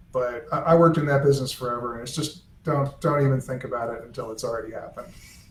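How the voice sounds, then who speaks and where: A man with a fairly high pitch speaks at a very fast pace and with fairly even intonation, amid noticeable background noise and audible room echo. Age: old. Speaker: author's son and estate editor. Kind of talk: casual chat. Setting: live video stream.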